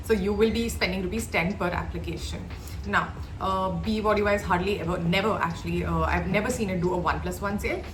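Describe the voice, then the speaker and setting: A woman's very fast speech, with audible room echo and noticeable background noise. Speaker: beauty reviewer. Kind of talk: product review.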